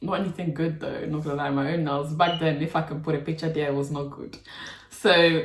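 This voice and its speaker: A woman speaks in a London accent. Her pitch sits fairly low. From London, England. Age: 20s. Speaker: nail technician and YouTuber. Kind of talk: casual Q&A chat. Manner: casual, chatty.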